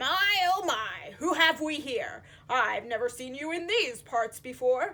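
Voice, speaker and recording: Pitched high for a woman, her put-on character voice moves at a fairly slow pace. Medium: read story. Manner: grumbling, chatty.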